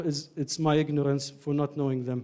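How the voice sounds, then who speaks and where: A man with an Iraqi accent and a dark, mellow tone, speaking at a moderate pace. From Ireland. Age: 30s. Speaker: doctor and community speaker. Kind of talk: lecture. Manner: halting.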